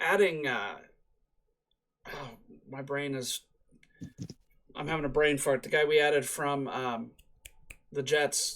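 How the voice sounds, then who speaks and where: A man's fairly high voice at a fairly slow pace, with fairly even intonation, long, frequent pauses and big swings in loudness. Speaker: sports podcast co-host. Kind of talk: casual chat. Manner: halting, stumbling over words.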